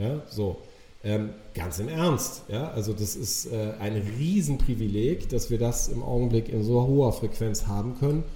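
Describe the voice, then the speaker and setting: A man at a medium pitch and fairly slow pace with ordinary pitch variation, amid audible room echo and noticeable background noise. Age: 40s. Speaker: podcast guest, coach. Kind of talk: casual interview conversation.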